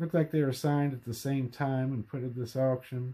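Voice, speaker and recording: The man's voice has a dark, mellow tone and fairly even intonation. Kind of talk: casual collection show-and-tell. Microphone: phone near.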